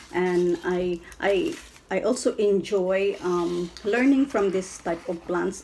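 A woman speaking at a very slow pace. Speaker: plant hobbyist. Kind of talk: casual unboxing talk to camera. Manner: hesitant, many fillers. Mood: cheerful, a bit shy. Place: home room. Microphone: phone near.

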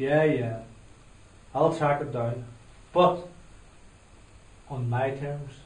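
A man puts on a gruff character voice with a fairly high pitch and fairly even intonation. He speaks at a very slow pace with long, frequent pauses, and there is slight echo. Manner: sarcastic, gruff, sweary.

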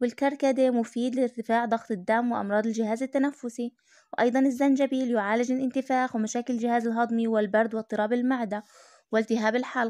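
Speaking in a Palestinian accent at a fairly quick pace, a woman with a high pitch and a dark, mellow tone keeps a monotone, flat intonation and very even loudness, captured with a dry, close sound with no echo. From Palestine. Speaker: YouTuber. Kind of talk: informational talk.

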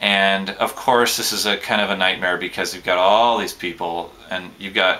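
There is a bright, sharp tone to this man's speech. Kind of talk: casual vlog chat. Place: home room. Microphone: webcam.

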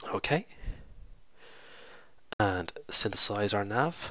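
Slow, lively intonation from a man with a fairly low pitch and a bright, sharp tone

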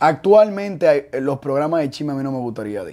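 A man with a Dominican accent talks at a fairly quick pace in an animated tone. His intonation is lively against a quiet background. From Dominican Republic. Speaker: show creator and youtuber; show creator, youtuber. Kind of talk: casual interview. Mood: relaxed, joking. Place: studio. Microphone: lapel.

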